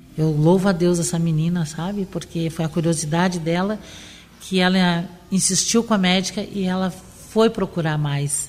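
Noticeable background noise behind speech of fairly even intonation. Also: woman, fairly low pitch for a woman, moderate pace. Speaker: cancer survivor. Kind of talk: testimony.

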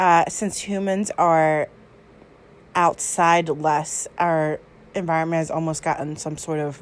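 A woman with a plain, everyday voice, fairly low in pitch, with an American accent and fairly even intonation. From New York. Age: 20s. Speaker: interviewee. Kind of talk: casual spoken answers.

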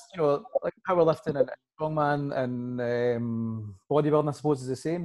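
A man with a Scottish accent has a fairly high pitch and ordinary pitch variation. He speaks at a moderate pace. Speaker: podcast host and lifting coach. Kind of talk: casual chat.

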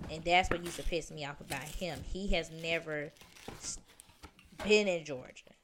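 With a Southern US accent, a woman talks at a fairly low pitch for a woman, with fairly even intonation, long, frequent pauses and big swings in loudness over noticeable background noise. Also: moderate pace. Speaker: returning guest. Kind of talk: casual chat.

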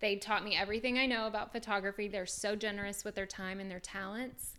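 Bright and sharp in tone, a woman with an American accent speaks at a fairly high pitch with ordinary variation. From US South and Kansas. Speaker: food blogger and photographer. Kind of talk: casual interview. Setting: in guest's home.

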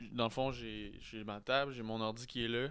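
Moderate pace from a man at medium pitch, fairly even in intonation, on a very clean recording with a silent background. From Quebec City. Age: 20s. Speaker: podcaster and vlogger. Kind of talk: casual chat.

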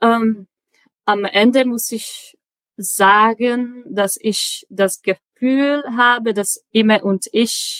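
A woman speaks very slowly in a Czech accent, her pitch fairly high. The sound is dry and close, with no echo. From Czech Republic, Prague. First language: Czech (speaking German). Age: 20s. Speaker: logistics dispatcher, German learner. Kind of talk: interview. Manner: halting, many fillers.

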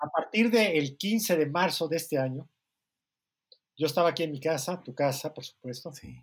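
Moderate-paced speech from a man, fairly high in pitch, with ordinary pitch variation. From Mexico. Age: 60s. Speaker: writer and editor. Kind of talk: casual chat.

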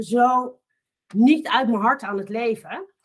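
A woman is speaking. Her pace is very slow. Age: 40s. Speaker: coaching client, businesswoman. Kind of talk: casual interview.

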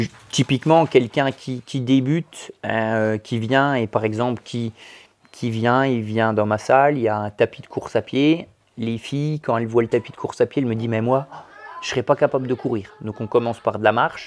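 In a dry, close sound with no echo, a man at medium pitch talks at a moderate pace with fairly even intonation. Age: 40s. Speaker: sports coach. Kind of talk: interview. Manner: halting.

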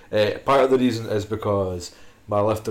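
A man speaks at a fairly quick pace. His voice is fairly low. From Scotland, Fife. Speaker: podcast host and powerlifting coach. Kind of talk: casual chat. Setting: studio in Edinburgh.

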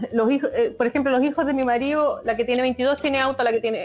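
A woman talks at a very fast pace in a monotone, flat intonation. Noticeable background noise sits behind her. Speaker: podcast guest. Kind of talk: casual chat.

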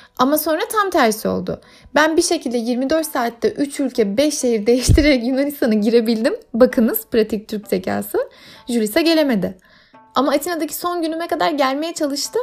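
A woman speaks at a moderate pace in a high pitch with lively intonation, music playing in the background. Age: 30s. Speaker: podcast host. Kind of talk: solo travel monologue. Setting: at home.

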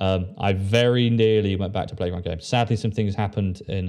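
Against a quiet background, a man talks at a fairly quick pace in a fairly low pitch, with a dark, mellow tone and ordinary pitch variation. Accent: English. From England. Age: 20s. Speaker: podcast host. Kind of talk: casual chat.

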